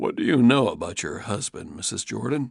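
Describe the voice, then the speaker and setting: Putting on a raspy character voice, a man talks at a fairly quick pace. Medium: read story. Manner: measured, gentle.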